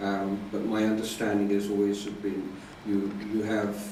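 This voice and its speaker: Here a man speaks at a moderate pace in a fairly low voice. His intonation is monotone and flat, with audible room echo. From UK. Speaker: Buddhist monk. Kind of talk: dharma talk. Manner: hesitant, many fillers.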